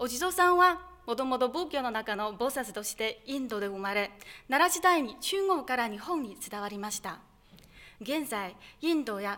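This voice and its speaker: A woman's raised, projected voice, high in pitch, bright and sharp in tone, with very wide pitch swings at a moderate pace. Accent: Chinese. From China. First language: Chinese (speaking Japanese). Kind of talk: speech contest presentation. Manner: formal.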